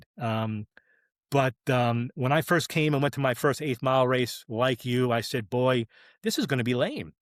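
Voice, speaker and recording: Heard at a moderate pace with ordinary pitch variation, a normal speaking voice with an American accent comes through a dry, close sound with no echo on a very clean recording over a silent background. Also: man, medium pitch for a man. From New York area, US Northeast. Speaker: drag racing clutch specialist. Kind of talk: casual podcast chat.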